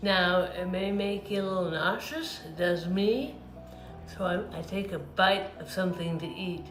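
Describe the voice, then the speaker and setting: A woman's fairly low voice at a fairly slow pace, with audible room echo and noticeable background noise. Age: 60s. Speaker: patient panelist. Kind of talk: testimony. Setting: virtual meeting. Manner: slurred, effortful speech (dysarthria).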